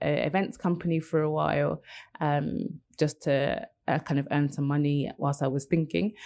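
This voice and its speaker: A woman with a British accent speaks at a moderate pace and a very deep, low pitch on a very clean recording with a silent background. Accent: quite a British. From London, England. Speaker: copywriter. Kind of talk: interview conversation. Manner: hesitant, many fillers.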